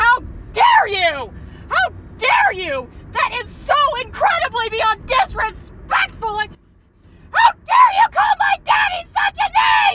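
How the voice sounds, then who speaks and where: A woman shouting, shrill and extremely high in pitch, at a fairly slow pace with ordinary pitch variation. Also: big swings in loudness. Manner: furious, shrill, screaming.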